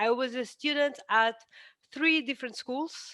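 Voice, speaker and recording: A woman with a Portuguese accent speaks in a bright, sharp tone. Her pitch varies in an ordinary way, and the background is quiet. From Portugal. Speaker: architect; guest lecturer. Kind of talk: lecture. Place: home room. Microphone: headset.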